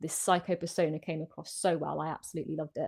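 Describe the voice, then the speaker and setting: A woman speaks with a British accent at a fairly low pitch. Vocal fry runs through her voice. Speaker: horror film YouTuber hosting a livestream. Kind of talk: live stream chat. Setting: live online stream. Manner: hesitant, many fillers.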